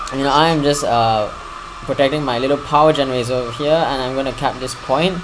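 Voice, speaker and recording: Very fast talk from a man with a fairly high pitch, with audible room echo and noticeable background noise. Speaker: gaming commentator. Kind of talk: live game commentary. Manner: animated.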